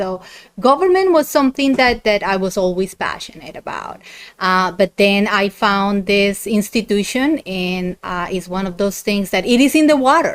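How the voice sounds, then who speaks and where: A woman speaks with lively intonation in a Colombian accent. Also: medium pitch for a woman, moderate pace. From Colombia, Bogota. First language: Spanish. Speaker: university dean. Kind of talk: podcast interview.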